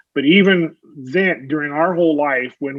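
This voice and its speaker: A man speaks at a fairly high pitch. His pace is fairly slow. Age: 60s. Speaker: retired NASA veteran and author. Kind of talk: podcast interview. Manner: halting, many fillers and repeats.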